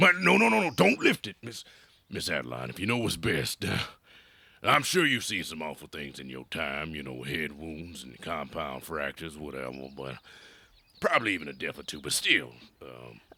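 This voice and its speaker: A man puts on a raspy character voice at a very deep, low pitch, with lively intonation, big swings in loudness and a moderate pace. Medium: audio drama. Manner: halting, filler-heavy folksy speech.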